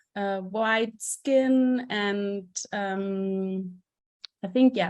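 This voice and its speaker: This woman has a German accent. Her pitch is medium, with ordinary variation. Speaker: theater director and festival curator. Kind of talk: conference presentation. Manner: halting, many fillers.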